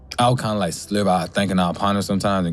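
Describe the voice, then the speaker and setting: Over noticeable background noise, a man with a fairly low voice talks at a very fast pace. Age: 30s. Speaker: music producer and military veteran sharing reflections. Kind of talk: personal reflective monologue. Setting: recording studio. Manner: rambling, halting.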